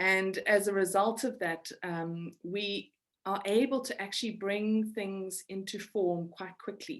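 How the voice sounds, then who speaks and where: Fairly even intonation in a woman's medium-pitched voice. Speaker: spiritual teacher. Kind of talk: webinar talk. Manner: halting, many repeated words.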